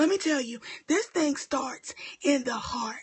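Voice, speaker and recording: A woman whispers quietly. Her pace is very slow. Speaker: preacher. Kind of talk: sermon. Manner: cannot speak loudly.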